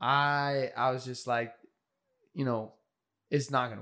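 Over a silent background in a very clean recording, a man with an American accent talks in a bright, sharp tone with fairly even intonation. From rural California, ranch country. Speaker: aspiring screenwriter. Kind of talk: casual interview chat.

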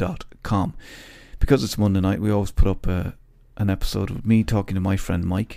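Talking at a very fast pace, a man with an Irish accent uses a fairly low pitch. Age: 40s. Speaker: podcast host. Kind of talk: casual chat. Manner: laughs often.

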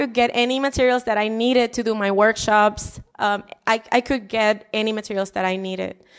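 With a Spanish accent, a woman talks at a fairly quick pace with hardly any pauses, her pitch fairly high and ordinary in variation. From Puerto Rico, Humacao. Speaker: city council candidate, former teacher. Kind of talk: interview.

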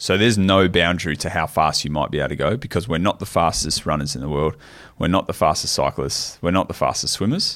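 A man's very deep, low voice with an Australian accent at a very fast pace, on a very clean recording with a silent background. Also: ordinary pitch variation. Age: 30s. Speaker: professional triathlete and coach. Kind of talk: casual chat.

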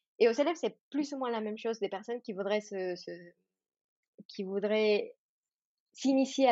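Against a quiet background, a woman talks at a moderate pace and medium pitch with ordinary pitch variation. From Mexico. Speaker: yoga teacher. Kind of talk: casual panel discussion.

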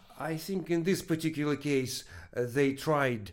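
The speaker has a Russian accent and ordinary pitch variation. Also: man. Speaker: research professor. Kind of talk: interview. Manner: halting.

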